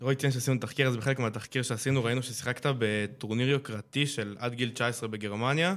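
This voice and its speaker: A man has a plain, everyday voice with a medium pitch and fairly even intonation. He talks at a fairly quick pace with very even loudness. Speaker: youth radio host. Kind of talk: casual interview.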